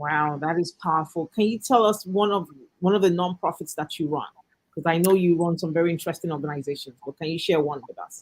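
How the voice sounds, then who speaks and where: A woman talks at a very fast pace with a fairly low pitch and ordinary pitch variation. Her loudness swings widely. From Nigeria. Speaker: talk show host. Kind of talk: interview. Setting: livestream.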